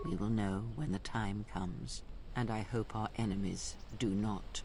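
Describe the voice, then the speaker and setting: Against loud background noise, a man uses a put-on character voice at a fairly low pitch. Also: moderate pace. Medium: video game. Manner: slow, solemn, cryptic.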